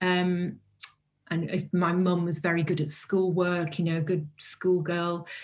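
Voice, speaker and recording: A woman's fairly low, monotone voice in a North Welsh accent, flat in intonation, very even in loudness and at a fairly slow pace. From North Wales. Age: 50s. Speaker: author and publisher. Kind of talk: interview.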